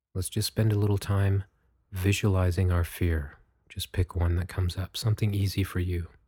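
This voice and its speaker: Somewhat breathy, with a dark, mellow tone and monotone, flat intonation, a man of very deep, low pitch is heard on a very clean, dry, close recording with a silent background and no echo. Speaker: meditation guide podcast host. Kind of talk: guided meditation. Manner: slow, soft-spoken, calm and soothing with long pauses; gentle, measured, instructive.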